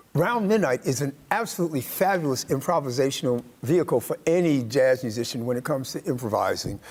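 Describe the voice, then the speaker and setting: Over noticeable background noise, a man with a fairly high pitch rattles along at a very fast pace with hardly any pauses and lively intonation. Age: 60s. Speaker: jazz drummer. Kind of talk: interview. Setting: studio.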